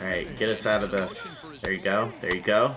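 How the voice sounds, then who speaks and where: A man's animated, fairly low voice at a moderate pace, with ordinary pitch variation, audible room echo and noticeable background noise. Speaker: gaming YouTuber. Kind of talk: gameplay commentary. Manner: casual, animated.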